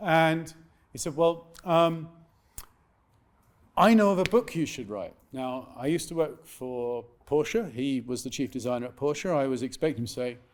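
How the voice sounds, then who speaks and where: A man speaks with lively intonation and long, frequent pauses. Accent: British. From England. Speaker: author. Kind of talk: live interview at event. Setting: stage with audience. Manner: fast.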